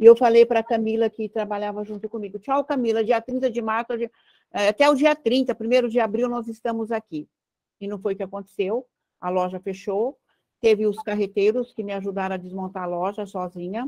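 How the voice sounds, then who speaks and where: Fairly quick and fairly even in intonation, a woman speaks in a dark, mellow tone with big swings in loudness. The sound is dry and close, with no echo. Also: fairly high pitch for a woman. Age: 70s. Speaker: writing workshop participant, former shop owner. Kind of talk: panel discussion at book launch.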